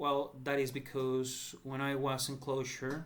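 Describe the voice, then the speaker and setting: The voice carries a Spanish accent. Room echo is audible. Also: man. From El Salvador. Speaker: entrepreneur seeking crowdfunding. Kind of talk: personal appeal. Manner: halting.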